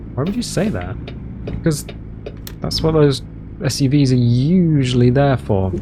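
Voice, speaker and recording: A man at a fairly slow pace, over noticeable background noise. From United Kingdom. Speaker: gaming video host. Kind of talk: casual gameplay commentary. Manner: relaxed, chatty.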